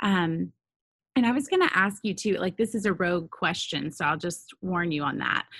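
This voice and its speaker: A woman speaks at a moderate pace in a warm, somewhat breathy tone against a quiet background. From Nashville, Tennessee. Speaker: ministry founder and podcast host. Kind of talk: casual interview chat. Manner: warm, encouraging.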